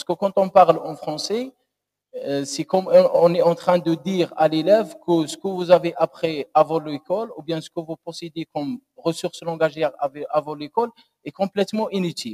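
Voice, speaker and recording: The voice has a dark, mellow tone and an Algerian accent. It moves at a moderate pace, with a dry, close sound and no echo. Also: man. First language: Algerian Arabic (speaking French). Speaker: doctoral candidate. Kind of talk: thesis defense answer. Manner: halting.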